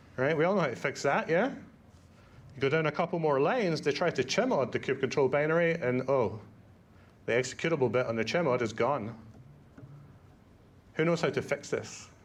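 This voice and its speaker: In a Scottish accent, a man talks at a fairly quick pace with a fairly high pitch and lively intonation. He leaves long, frequent pauses against a quiet background. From Scotland. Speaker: conference speaker, Kubernetes educator. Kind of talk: conference talk. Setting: stage with audience. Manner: casual, lots of fillers.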